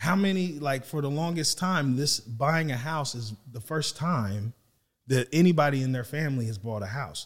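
A man's somewhat breathy, fairly high voice moves at a moderate pace with lively intonation. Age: 40s. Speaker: real estate agent and podcast co-host. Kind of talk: casual discussion.

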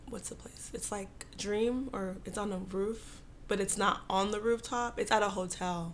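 A woman's medium-pitched voice in an American accent, monotone and flat in intonation, with audible room echo. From Dallas, Texas. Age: 20s. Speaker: guest co-host. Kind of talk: casual chat.

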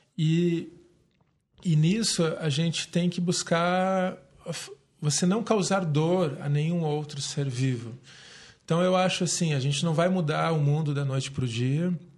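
Long, frequent pauses break up the fairly slow speech, which has ordinary pitch variation and audible room echo. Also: man, fairly high pitch for a man. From Brazil, Curitiba. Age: 30s. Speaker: city councillor and yoga teacher. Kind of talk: casual interview.

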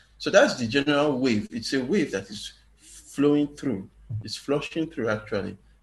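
This man's somewhat breathy voice moves at a moderate pace with lively intonation. The background is quiet. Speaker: writer. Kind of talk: casual chat.

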